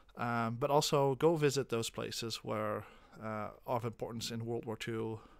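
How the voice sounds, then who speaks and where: A man with a slight Dutch accent speaks at a moderate pace in a medium pitch with fairly even intonation. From Netherlands. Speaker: special education teacher. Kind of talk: classroom talk before reading aloud. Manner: halting, many fillers.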